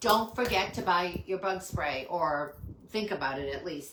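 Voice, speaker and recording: Amid noticeable background noise and audible room echo, a woman speaks with a very deep, low pitch. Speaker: small business owner selling handmade soaps. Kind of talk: live stream product pitch. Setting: home live stream. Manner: fast; hesitant, many fillers.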